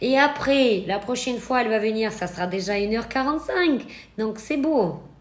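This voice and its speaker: Over noticeable background noise and audible room echo, a woman talks at a fairly high pitch with lively intonation. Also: moderate pace. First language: not French (speaking French). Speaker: eyelash extension trainer. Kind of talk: live stream Q&A tutorial. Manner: hesitant, with fillers.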